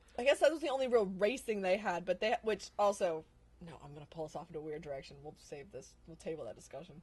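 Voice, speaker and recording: A woman with an American accent, medium in pitch and somewhat breathy, at a very fast pace, with very wide pitch swings and big swings in loudness. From US South. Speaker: actress. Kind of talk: casual chat.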